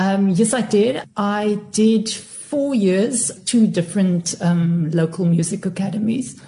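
Speaking at a very slow pace with hardly any pauses, a woman uses a medium pitch, ordinary pitch variation and a dark, mellow tone that is somewhat breathy. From Cape Town, South Africa. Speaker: singer and stage actress. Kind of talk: casual chat.

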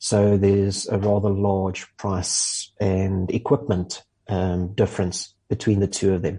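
Fairly slow yet with hardly any pauses, a man with a fairly low voice speaks in a monotone, flat manner. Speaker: motoring journalist. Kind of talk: casual chat.

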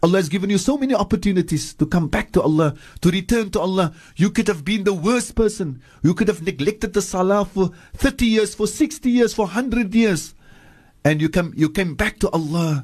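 Lively intonation at a fairly quick pace over a quiet background. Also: man, high pitch for a man. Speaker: Islamic scholar. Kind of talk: religious talk with prayers and Arabic quotations. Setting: radio studio. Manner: fervent, earnest, preacherly; repeats phrases for emphasis, exhorting.

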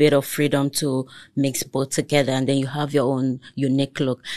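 Against a quiet background, a woman's speech moves at a moderate pace. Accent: Nigerian. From Lagos, Nigeria. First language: Togolese language (mother's tongue). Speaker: entrepreneur. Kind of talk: casual chat.

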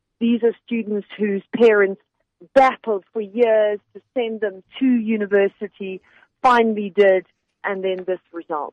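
This woman has a plain, everyday voice with a medium pitch. She speaks at a fairly slow pace with fairly even intonation. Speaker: journalist correspondent. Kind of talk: interview. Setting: phone call from abroad.

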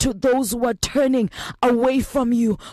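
The speaker has a South African accent. The pace is fairly slow. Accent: South African, Xhosa-accented English. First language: Xhosa. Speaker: prayer leader. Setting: radio broadcast. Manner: fervent, pleading; emphatic, rhythmic, repetitive cadence.

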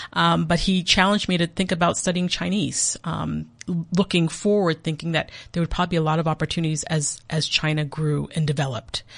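A woman with an American accent, very deep, low pitch, fairly quick pace, fairly even intonation and a quiet background. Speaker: diplomat. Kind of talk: interview. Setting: studio.

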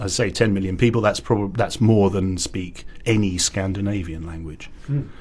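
A man speaks with a very deep, low pitch and ordinary pitch variation. His voice is somewhat breathy. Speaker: publisher of minority-language books. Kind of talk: studio interview. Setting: studio.

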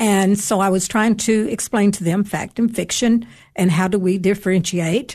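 A woman's somewhat breathy, medium-pitched voice in fairly even intonation, over a quiet background. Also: moderate pace. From Tennessee, Upper Cumberland (Cookeville). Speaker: author and retired English teacher. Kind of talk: radio interview with storytelling.

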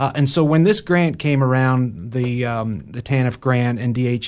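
A plain, everyday voice from a man, medium in pitch, at a moderate pace against a quiet background. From Ohio and New York. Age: 40s. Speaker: nonprofit executive director. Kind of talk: interview. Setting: studio.

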